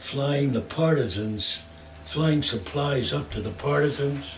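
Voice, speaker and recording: Amid audible room echo, a man with a New York accent speaks at a very slow pace and medium pitch. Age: 80s+. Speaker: war veteran and garment equipment supplier. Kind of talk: oral history interview.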